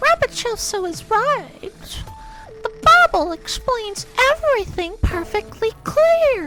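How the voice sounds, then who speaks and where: A squeaky, put-on character voice at an extremely high pitch speaks fairly slowly over clear music in the background. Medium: read story.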